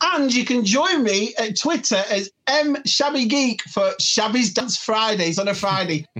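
The speech comes at a fairly slow pace with hardly any pauses, in a strong British accent. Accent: thick British. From UK. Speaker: collector and furniture business owner. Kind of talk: casual chat.

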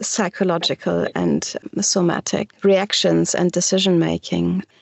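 A woman speaks at a fairly slow pace. She has a German accent. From Germany, Düsseldorf. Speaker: shibari practitioner and teacher. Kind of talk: interview. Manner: halting.

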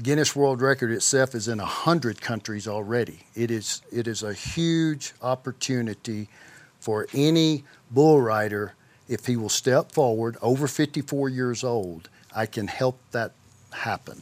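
A man with an Arkansas accent, medium in pitch, with ordinary pitch variation. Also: fairly slow pace. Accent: Southern US (Arkansas). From US South, southeast Arkansas. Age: 50s. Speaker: professional bull rider. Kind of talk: interview.

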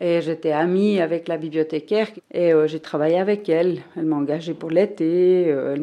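A woman's fairly low-pitched, an unremarkable speaking voice, with fairly even intonation. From Switzerland, Fribourg. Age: 50s. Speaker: librarian. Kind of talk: casual interview.

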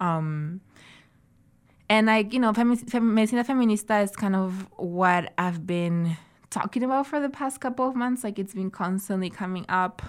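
A woman talks with a Spanish accent and ordinary pitch variation. The recording is very clean, with a silent background. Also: medium pitch for a woman, moderate pace. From Santiago, Chile (born in Arequipa, Peru). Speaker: artist and traditional medicine researcher. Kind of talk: interview. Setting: studio. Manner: frequent filler words.

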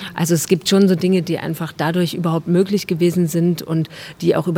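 A woman speaks at a fairly quick pace in a fairly low pitch, her intonation flat and monotone. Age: 30s. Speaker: actress and artist. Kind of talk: interview. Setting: outdoors, market square.

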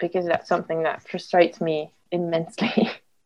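In a French accent, a woman with a fairly low pitch speaks at a moderate pace in a monotone, flat intonation. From France. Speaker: storyboard artist. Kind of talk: panel discussion.

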